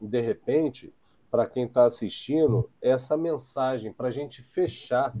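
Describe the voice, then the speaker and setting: Dark and mellow in tone, a man's voice proceeds fairly slowly. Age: young. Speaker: podcast host, safety professional. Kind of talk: casual interview chat. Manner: hesitant, many fillers.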